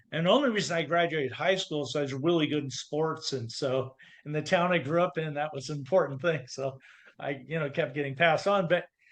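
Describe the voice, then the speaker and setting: The man talks at a very fast pace. His fairly high pitch shows ordinary variation. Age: 60s. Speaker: confidence coach. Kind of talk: interview.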